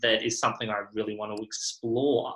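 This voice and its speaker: A man is speaking. He has an Australian accent. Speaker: podcast host. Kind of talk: interview conversation.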